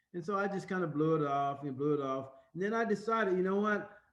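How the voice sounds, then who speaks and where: This man talks at a fairly quick pace in a high pitch. Audible room echo surrounds his voice. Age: 60s. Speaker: real estate instructor. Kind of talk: lecture. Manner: conversational, with fillers.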